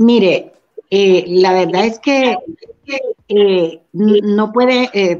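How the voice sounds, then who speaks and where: Music plays in the background. A woman speaks at a medium pitch with ordinary pitch variation. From Honduras, Santa Bárbara. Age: 60s. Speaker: mother of a detained man. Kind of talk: interview.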